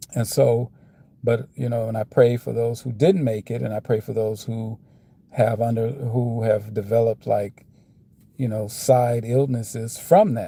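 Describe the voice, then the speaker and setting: With an American accent, a man speaks fairly slowly at a medium pitch with fairly even intonation. His tone is dark, mellow and somewhat breathy. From United States. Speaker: vlogger. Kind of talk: casual monologue. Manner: slurring; halting.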